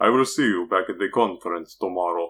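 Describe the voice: In a put-on character voice, the speaker goes at a fairly quick pace, with a bright, sharp tone, a slightly husky edge and ordinary pitch variation. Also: man.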